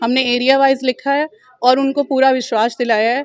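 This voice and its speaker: The woman speaking has a high-pitched voice. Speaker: election candidate. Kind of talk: press interview.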